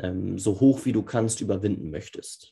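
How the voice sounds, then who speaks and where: A man speaks at a fairly slow pace, sounding somewhat breathy. The background is quiet. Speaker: football podcast host. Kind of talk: tutorial. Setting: remote recording via Zoom.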